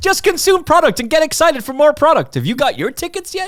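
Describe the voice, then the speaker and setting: A man speaks with an Irish accent. His tone is animated. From Ireland. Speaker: podcast host. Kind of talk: casual chat.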